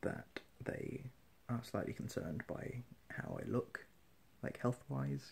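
The voice has vocal fry and a weary tone. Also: man. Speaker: vlogger. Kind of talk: casual vlog chat. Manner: weary, low-energy sleep-deprived voice. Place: home room. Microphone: phone near.

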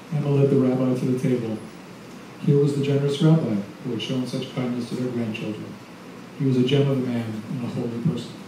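Through noticeable background noise and audible room echo, a man talks at a very fast pace with fairly even intonation and long, frequent pauses. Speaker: novelist. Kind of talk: reading aloud. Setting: stage with audience. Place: cafe.

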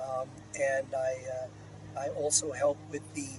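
A man speaks in a dry sound with no echo. Noticeable background noise runs underneath. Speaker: software engineering manager. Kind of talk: interview answer. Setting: outdoors. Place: open country.

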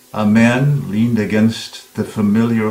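Over music in the background, a man speaks at a fairly slow pace with a fairly low pitch and fairly even intonation. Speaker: audiobook narrator. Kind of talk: book trailer narration. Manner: dramatic.

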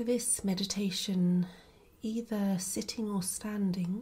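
A gentle, soothing tone at a very slow pace. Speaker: meditation teacher. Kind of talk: guided self-compassion meditation, slow spoken instructions to the listener. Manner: slow, unhurried pacing with long pauses between short phrases; gentle, soothing and invitational, soft steady tone.

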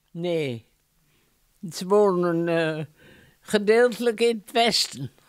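In a dry sound with no echo and a quiet background, a woman speaks at a very slow pace with ordinary pitch variation. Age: 80s+. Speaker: centenarian interviewee; interviewee. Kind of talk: casual interview. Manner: halting. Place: home room. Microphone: handheld.

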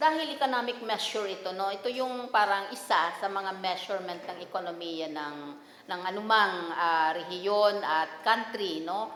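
With audible room echo and light background noise, a woman speaks with lively intonation. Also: medium pitch for a woman, moderate pace. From Philippines. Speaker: statistics agency official. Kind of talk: news interview soundbite. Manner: halting. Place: meeting room. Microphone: podium.

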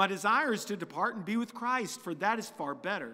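A man's bright, sharp-toned voice against a quiet background. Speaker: preacher. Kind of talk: scripture reading. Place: church. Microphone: podium.

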